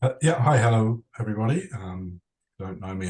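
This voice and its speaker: His voice has a somewhat breathy quality. The man keeps a moderate speed. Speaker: sports performance director. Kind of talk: webinar presentation.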